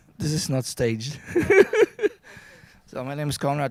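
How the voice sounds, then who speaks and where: This man's voice is fairly high. His pitch varies in an ordinary way. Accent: Polish. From Poland. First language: Polish. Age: 50s. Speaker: guest speaker. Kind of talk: personal story. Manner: halting.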